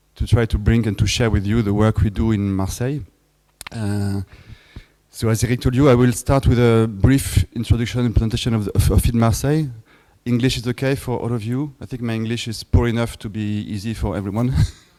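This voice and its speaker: A man with a dark, mellow tone, fairly even intonation and a fairly quick pace. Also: medium pitch for a man. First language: French. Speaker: film festival director. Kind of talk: lecture. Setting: workshop with audience. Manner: halting.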